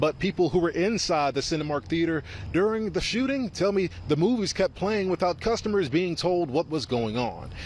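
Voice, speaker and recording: High-pitched man's voice, hardly any pauses, dry sound with no echo, light background noise. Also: lively intonation, moderate pace. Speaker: field reporter. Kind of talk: live news reporting. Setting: outdoors, live on location. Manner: formal, steady, authoritative. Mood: serious.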